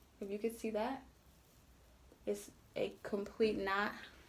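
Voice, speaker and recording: A woman's fairly high voice at a fairly slow pace. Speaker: beauty vlogger. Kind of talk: tutorial. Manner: casual, conversational.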